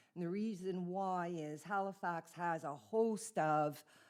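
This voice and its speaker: Her pitch fairly low, a woman with a Canadian accent speaks with ordinary pitch variation. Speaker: immigrant settlement officer. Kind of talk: presentation to town council. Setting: council meeting.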